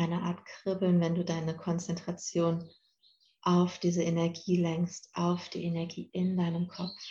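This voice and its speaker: A woman's fairly low, somewhat breathy voice, gentle and calm in tone, very slow and flat with monotone intonation. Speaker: podcast host and meditation guide. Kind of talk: guided meditation, calm instructions addressed to 'you'. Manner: slow, soft, soothing, with long pauses.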